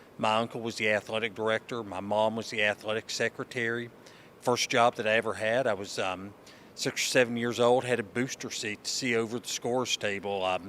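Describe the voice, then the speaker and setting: At a fairly quick pace, a man with an Appalachian accent talks at medium pitch in a monotone, flat intonation. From Eastern Kentucky. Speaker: college sports conference commissioner. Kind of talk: interview. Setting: convention. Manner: halting, many fillers.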